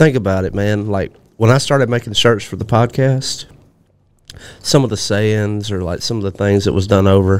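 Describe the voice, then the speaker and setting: At a moderate pace, a man with a Southern US accent talks in a fairly low pitch with ordinary pitch variation. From Alabama. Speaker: podcast co-host. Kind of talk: casual chat. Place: studio. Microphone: studio mic.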